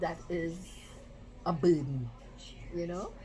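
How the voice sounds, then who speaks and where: A woman speaks with audible echo from the room around her. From Trinidad, San Fernando. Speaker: nutrition advice guest. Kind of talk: casual interview chat.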